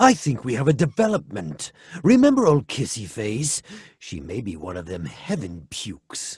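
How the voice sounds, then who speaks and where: A man puts on a character voice at a medium pitch. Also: moderate pace. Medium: comedy sketch.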